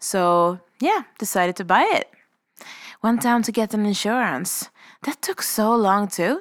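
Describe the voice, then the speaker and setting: On a very clean recording with a silent background, a woman with a Swedish accent speaks at a medium pitch. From Sweden, Stockholm. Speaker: podcast host. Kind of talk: storytelling monologue.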